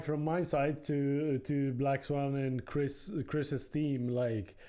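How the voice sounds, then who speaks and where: On a very clean recording with a silent background, a man with a Polish accent speaks at a very slow pace in a dark, mellow tone, fairly high in pitch, with fairly even intonation. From Poland. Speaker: podcast host. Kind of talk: podcast interview.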